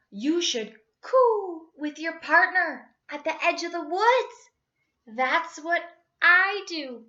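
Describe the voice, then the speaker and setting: A woman uses a put-on character voice with an extremely high pitch. She speaks at a very slow pace. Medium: read story.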